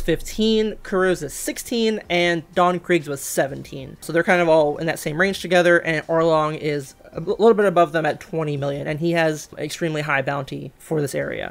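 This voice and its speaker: A woman's fairly low voice with ordinary pitch variation at a moderate pace. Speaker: manga discussion host. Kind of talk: casual commentary recap. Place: home room.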